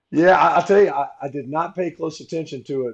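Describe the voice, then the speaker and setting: With a Southern US accent, a man talks at a moderate pace using ordinary pitch variation. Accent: Southern US (Georgia). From Georgia, US South. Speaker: former college football player and commentator. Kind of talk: casual chat.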